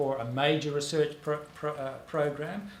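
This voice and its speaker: A man with an Australian accent speaks at a moderate pace amid audible room echo and noticeable background noise. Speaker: author and public intellectual. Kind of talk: panel talk. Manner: halting, many fillers.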